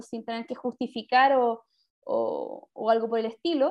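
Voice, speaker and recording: A woman with a high voice is speaking. She talks at a fairly slow pace with fairly even intonation. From Chile, Santiago. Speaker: podcast co-host. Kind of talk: casual chat.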